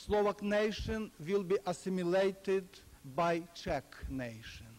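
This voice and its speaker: A man with a Ukrainian accent, high pitch and lively intonation at a fairly slow pace. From Ukraine. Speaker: historian, former political prisoner. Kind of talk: lecture.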